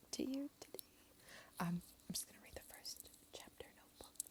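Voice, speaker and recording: The speaker is whispering. The pace is moderate. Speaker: ASMR channel host. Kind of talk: soft-spoken ASMR book reading. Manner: soft-spoken.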